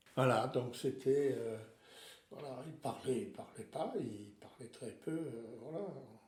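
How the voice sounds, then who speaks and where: A man talks at a very slow pace and a medium pitch, with ordinary pitch variation. Room echo is audible. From Alsace, France. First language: Alsatian (speaking French). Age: 70s. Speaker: retiree. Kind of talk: interview. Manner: hesitant, many fillers.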